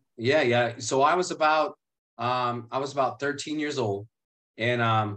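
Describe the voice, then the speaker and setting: Bright and sharp in tone, a man speaks in an American accent with a medium pitch and ordinary pitch variation. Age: 30s. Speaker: youth advocate, nonprofit founder. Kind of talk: life story testimony. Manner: halting, repeats words.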